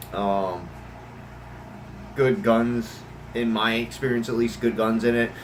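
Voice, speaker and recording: A man's medium-pitched voice at a fairly slow pace over noticeable background noise. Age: 30s. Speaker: gun hobbyist vlogger. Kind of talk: casual talk to camera. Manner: halting, many fillers.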